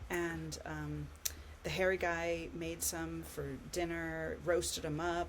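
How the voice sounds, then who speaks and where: A woman speaks with an American accent at a very slow pace. Audible room echo surrounds her voice. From California, US. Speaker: podcast co-host, researcher. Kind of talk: casual chat.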